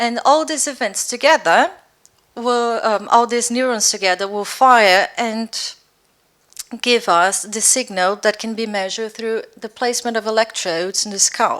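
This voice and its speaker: Speaking with a Brazilian accent, a woman talks at a fairly slow pace in a fairly high pitch with ordinary pitch variation. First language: Portuguese. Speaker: neuroscience researcher. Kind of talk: lecture. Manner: clear, careful pace.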